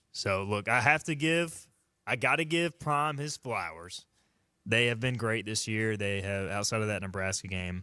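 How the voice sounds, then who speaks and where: A man with a Southern US accent, a fairly low pitch, a bright, sharp tone and lively intonation, in a very clean recording with a silent background. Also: moderate pace. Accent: southern twang. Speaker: sports radio host. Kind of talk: casual sports talk.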